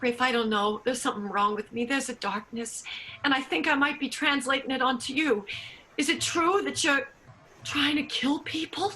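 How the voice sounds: Bright and sharp with a slightly husky edge, a woman's high voice takes on a put-on character. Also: ordinary pitch variation, moderate pace.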